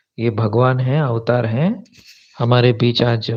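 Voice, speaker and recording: His voice is somewhat breathy and sits at a medium pitch. The man's pitch varies in an ordinary way. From South India. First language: a South Indian language (speaking Hindi). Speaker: YouTuber, spiritual commentator. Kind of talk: live stream chat. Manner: casual, mixes English words into Hindi.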